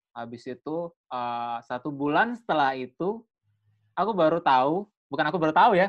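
A man with an ordinary speaking voice, fairly high in pitch, lively in intonation, at a moderate pace, in a dry, close sound with no echo. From Bali. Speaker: content creator. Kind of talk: casual chat.

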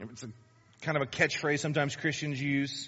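This man speaks at a fairly high pitch. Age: 40s. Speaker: pastor. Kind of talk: sermon.

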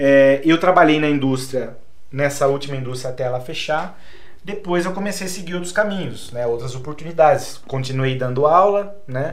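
At a moderate pace, a man speaks with fairly high pitch, with noticeable background noise and audible room echo. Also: ordinary pitch variation. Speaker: English teacher and collector. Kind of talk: casual chat.

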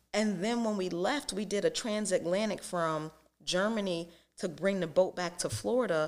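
A woman with an unremarkable speaking voice talks at a moderate pace and a medium pitch, with ordinary pitch variation. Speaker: small business owner. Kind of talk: casual interview.

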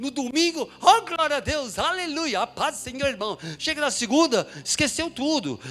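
With noticeable background noise behind him, a man speaks at a moderate pace in a raised, projected voice, extremely high in pitch and lively in intonation. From São Paulo, Brazil (Mooca, east side). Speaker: preacher. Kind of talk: sermon. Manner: animated.

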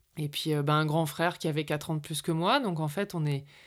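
Heard in a very clean recording with a silent background, a woman with an ordinary speaking voice talks at a moderate pace, with a fairly low pitch and fairly even intonation. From northern France. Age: 40s. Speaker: communication consultant and podcast producer. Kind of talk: personal testimony.

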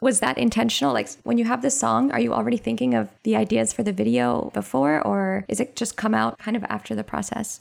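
Her voice sits very deep and low for a woman, yet it makes very wide pitch swings. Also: fairly quick pace, hardly any pauses. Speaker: podcast host. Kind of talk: casual interview.

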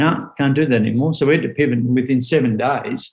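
With an Australian accent, the voice moves along at a moderate pace. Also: man. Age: 40s. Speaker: motivational speaker. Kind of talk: casual chat.

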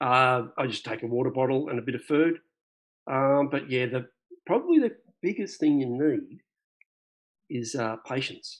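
A man with an Australian accent keeps a moderate pace but leaves long, frequent pauses. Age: 50s. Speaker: birdwatcher and club member. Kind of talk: interview. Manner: halting.

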